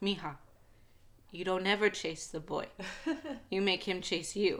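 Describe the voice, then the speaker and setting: A female-sounding voice puts on a gruff character voice at a middle pitch. The pace is moderate. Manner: stern, scolding.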